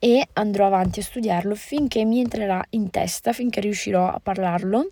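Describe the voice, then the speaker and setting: A woman talks at a moderate pace with a dark, mellow tone, medium pitch and ordinary pitch variation, in a dry, close sound with no echo on a very clean recording with a silent background. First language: Moroccan Arabic (Darija) (speaking Italian). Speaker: podcaster. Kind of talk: casual monologue. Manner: hesitant, many fillers.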